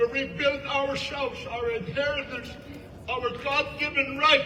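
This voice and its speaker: With an extremely high pitch, a man projects a raised voice at a fairly slow pace in monotone, flat intonation. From Canada, First Nations. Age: 70s. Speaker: First Nations elder. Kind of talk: public speech.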